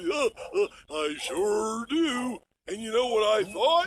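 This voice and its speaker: A man talks in a cartoonish character voice, pitched high. His pace is fairly slow. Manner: hesitant, folksy, with many "uh"s.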